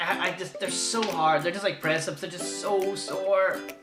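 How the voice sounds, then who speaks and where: Over noticeable background noise and audible room echo, a man with a British accent talks at a fairly quick pace. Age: 20s. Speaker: vlogger. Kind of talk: casual vlog monologue. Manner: loud.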